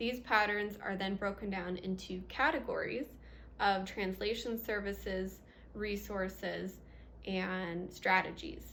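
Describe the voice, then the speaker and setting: Speaking at a fairly slow pace, a woman is heard. Echo from the room is audible. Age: 20s. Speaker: substitute teacher presenting research. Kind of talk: presentation. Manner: halting, many fillers.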